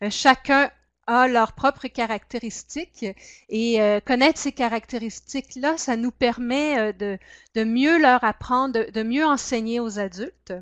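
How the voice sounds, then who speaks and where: The recording has a dry, close sound with no echo as a woman speaks at a fairly slow pace in a high pitch. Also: ordinary pitch variation. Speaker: project officer and workshop trainer. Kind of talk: webinar training presentation. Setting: webinar. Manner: hesitant, many fillers.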